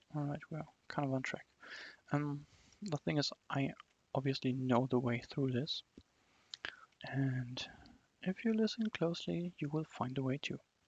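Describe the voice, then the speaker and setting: Someone with a non-native accent speaks with long, frequent pauses. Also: moderate pace. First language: not English. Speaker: game developer streaming own fan game. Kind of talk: gameplay commentary. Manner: casual, filler-heavy.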